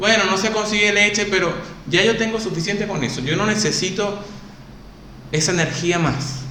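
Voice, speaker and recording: A high male voice, raised and projected, at a moderate pace with ordinary pitch variation and long, frequent pauses, amid audible room echo and noticeable background noise. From Venezuela, Maturín. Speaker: actor. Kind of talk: casual chat.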